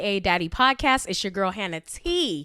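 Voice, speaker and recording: Loud and animated, a woman speaks with a bright, sharp tone at a fairly high pitch. The recording is very clean, with a silent background. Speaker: podcast host. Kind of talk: casual monologue.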